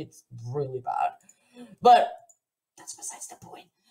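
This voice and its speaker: A woman talks at a fairly quick pace with a Portuguese accent. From Portugal. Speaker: software developer, conference speaker. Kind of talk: live coding tutorial at online conference. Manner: casual, chatty.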